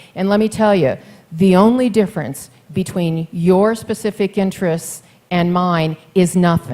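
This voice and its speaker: Her tone dark and mellow, a woman talks at a fairly slow pace. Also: medium pitch for a woman, ordinary pitch variation. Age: 60s. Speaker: mayoral candidate. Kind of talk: campaign speech at forum. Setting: forum with live audience.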